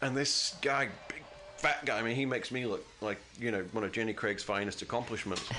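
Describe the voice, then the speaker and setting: Fairly quick speech from a man at medium pitch, with ordinary pitch variation and noticeable background noise. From Great Britain. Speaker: comedian. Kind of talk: casual chat. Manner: animated.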